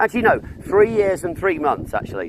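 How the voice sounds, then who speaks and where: Noticeable background noise sits behind a man with a high pitch. His pitch swings very widely. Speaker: street activist livestreamer. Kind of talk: heated argument with police. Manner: loud; sarcastic, animated.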